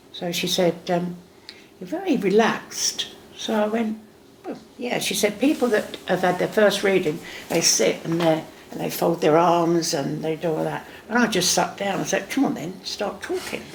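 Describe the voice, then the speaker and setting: A woman speaks in a Cockney accent at a moderate pace. There is noticeable background noise. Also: medium pitch for a woman, ordinary pitch variation. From England. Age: 70s. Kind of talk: interview answer. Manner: sassy, lively storytelling.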